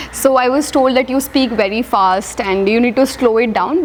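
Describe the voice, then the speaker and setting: Over noticeable background noise, a woman talks at a high pitch with ordinary pitch variation. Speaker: civil service exam topper. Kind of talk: interview. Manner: fast.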